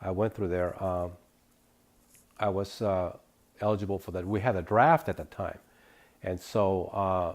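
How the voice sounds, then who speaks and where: On a very clean recording with a silent background, a man speaks fairly quickly at a very deep, low pitch. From northern California (Davis), from age nine; born in Sonora, Mexico. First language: Spanish. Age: 60s. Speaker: interviewee recounting immigrant life. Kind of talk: interview testimony. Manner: halting, many fillers and repetitions.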